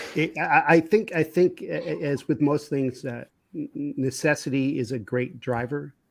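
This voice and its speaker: With a New York accent, a man with a fairly high pitch and vocal fry talks at a moderate pace using ordinary pitch variation. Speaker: business consultant. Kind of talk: casual interview conversation. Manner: halting, many repetitions.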